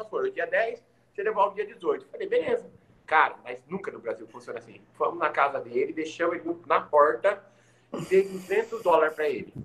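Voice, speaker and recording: Big swings in loudness mark a man's fairly quick speech. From Maringá, Paraná, Brazil (from age four). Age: 40s. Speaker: podcast guest. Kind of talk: casual chat. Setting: at home, in the kitchen.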